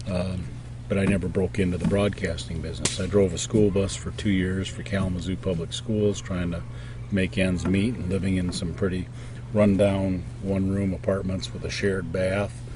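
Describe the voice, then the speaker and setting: A man with an American accent and a very deep, low pitch talks at a moderate pace, with noticeable background noise and audible room echo. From Detroit area, Michigan. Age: 50s. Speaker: interviewee. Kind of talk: interview. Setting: outdoors.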